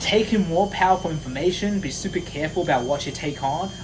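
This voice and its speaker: A high-pitched man talks at a fairly quick pace with ordinary pitch variation. Noticeable background noise runs underneath. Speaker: confidence coach. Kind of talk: live stream motivational talk. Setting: live stream. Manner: fast; animated.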